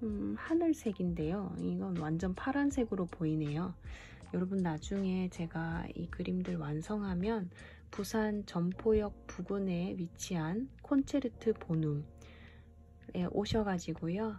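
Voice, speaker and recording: A woman speaks at a very slow pace with music playing in the background. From Busan, South Korea. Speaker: illustrator and painter. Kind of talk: casual art talk to viewers. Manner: casual, chatty with filler words.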